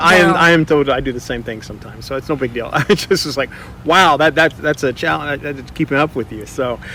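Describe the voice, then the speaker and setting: A fairly high-pitched male voice comes through noticeable background noise. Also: ordinary pitch variation, fairly quick pace. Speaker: podcast host. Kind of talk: interview question.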